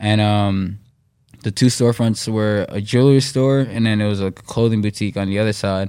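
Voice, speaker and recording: In a New York accent, a man with a fairly low pitch and a dark, mellow tone talks at a fairly quick pace with fairly even intonation on a very clean recording with a silent background. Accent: New York area American. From US Northeast, Westchester, New York. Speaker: professional skateboarder. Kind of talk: casual interview.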